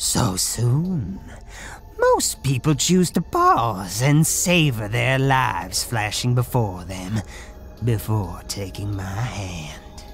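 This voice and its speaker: A cartoonish character voice, low in pitch and very slow, with clear music in the background. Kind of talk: cartoon grim reaper. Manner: slow, formal, ominous.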